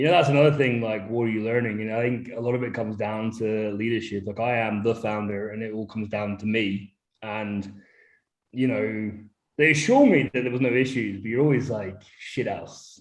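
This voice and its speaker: Amid audible room echo, a man speaks at a fairly quick pace with fairly even intonation. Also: medium pitch for a man. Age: 30s. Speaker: brewery founder. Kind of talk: casual chat. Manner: halting.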